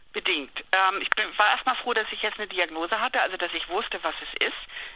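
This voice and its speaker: Her voice is pitched in the middle range. This woman's pitch moves in an ordinary way. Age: 50s. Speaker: journalist and patient. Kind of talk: interview.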